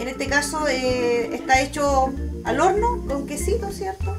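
There is clear music in the background. Over it, a woman speaks. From Tomé, Biobío Region, Chile. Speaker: traditional cook. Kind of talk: cooking talk to camera. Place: kitchen. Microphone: phone near.

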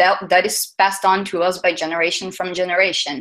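A woman with a Portuguese accent at a moderate pace against a quiet background. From southern Brazil. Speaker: UX designer, conference speaker. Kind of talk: conference talk. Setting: stage with audience. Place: hall.

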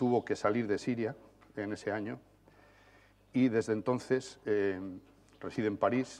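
A man's medium-pitched voice at a fairly slow pace with fairly even intonation. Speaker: journalist, panel moderator. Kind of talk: moderating a panel. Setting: conference hall with audience. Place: stage.

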